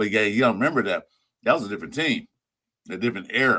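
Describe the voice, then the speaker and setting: A man's bright, sharp voice at medium pitch, with ordinary pitch variation and a fairly quick pace, on a very clean recording with a silent background. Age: 60s. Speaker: football podcast guest. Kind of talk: casual chat.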